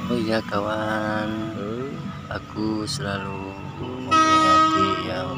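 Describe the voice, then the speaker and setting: Over clear background music, a man speaks very slowly in a dry sound with no echo. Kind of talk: casual vlog commentary. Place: street. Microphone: phone near.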